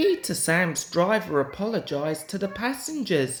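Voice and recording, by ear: A man talks at a high pitch and a fairly slow pace, with big pitch swings. The room adds an audible echo.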